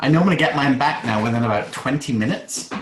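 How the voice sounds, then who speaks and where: A man with a British accent talks at a very fast pace. His medium-pitched voice carries audible room echo. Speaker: online course coach. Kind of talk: group video call workshop Q&A.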